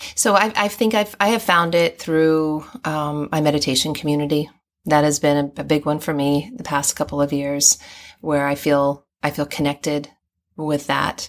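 In a very clean recording with a silent background, a woman with an American accent speaks at a very deep, low pitch with ordinary pitch variation. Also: moderate pace. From US and Hong Kong (raised overseas). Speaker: guest with a doctorate, third culture kid. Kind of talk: casual interview. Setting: in person.

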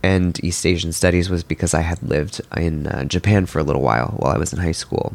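A man's very deep, low voice with vocal fry, at a very fast pace with hardly any pauses and ordinary pitch variation. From Milan, Italy. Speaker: designer and letterer. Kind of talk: interview. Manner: halting.

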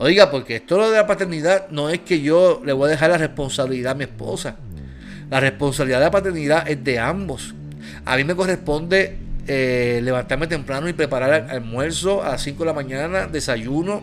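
A man talks at a fairly quick pace, his pitch fairly high with ordinary variation. Noticeable background noise runs behind him. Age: 40s. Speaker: pastor. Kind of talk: casual chat. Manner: animated.

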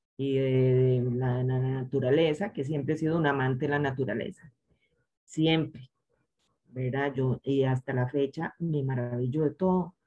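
With music in the background, the speech moves at a fairly slow pace, with very even loudness and fairly even intonation. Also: woman, very deep, low pitch for a woman. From Costa Rica, San José. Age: 50s. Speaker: chemistry professor and researcher. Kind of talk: interview.

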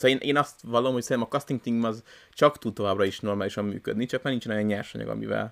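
Very fast speech from a man at a medium pitch with fairly even intonation, in a very clean recording with a silent background. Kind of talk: casual chat. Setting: new recording location.

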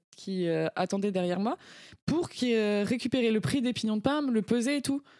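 Amid noticeable background noise, a woman with fairly high pitch talks at a fairly quick pace with lively intonation. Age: 20s. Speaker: podcast guest. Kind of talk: casual chat.

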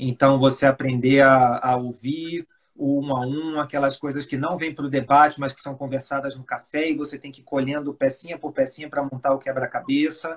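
A man's fairly high voice in a Rio de Janeiro accent, flat and monotone, at a fairly quick pace with hardly any pauses and big swings in loudness. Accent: carioca. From Brazil, Rio de Janeiro, raised in Espírito Santo. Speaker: pharmaceutical executive. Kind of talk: interview. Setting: live stream video call.

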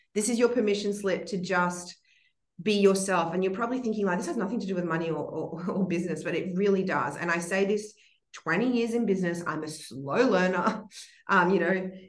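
There's audible room echo as a woman speaks with ordinary pitch variation. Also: medium pitch for a woman, fairly quick pace. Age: 30s. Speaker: entrepreneur and mother. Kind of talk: casual interview.

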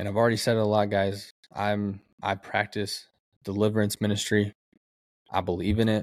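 Fairly low in pitch, a man talks at a fairly quick pace broken by long, frequent pauses. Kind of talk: sermon-like testimony and prayer. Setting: solo podcast recording. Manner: fervent, emotional, earnest; animated, excitable.

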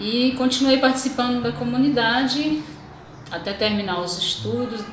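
At a fairly slow pace, a woman speaks with lively intonation amid audible room echo and noticeable background noise. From Minas Gerais, Brazil (Governador Valadares region, rural). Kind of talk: testimony. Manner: hesitant with many fillers.

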